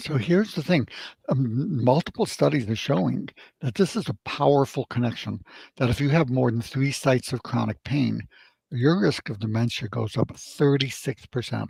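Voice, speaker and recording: Speaking at a moderate pace with an American accent, a man uses lively intonation in a somewhat breathy voice, recorded dry and close with no echo. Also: medium pitch for a man. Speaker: medical doctor. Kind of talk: radio interview.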